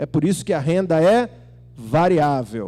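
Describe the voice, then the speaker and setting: A man speaks in an animated tone. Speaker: pastor. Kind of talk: sermon. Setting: church. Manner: animated, conversational.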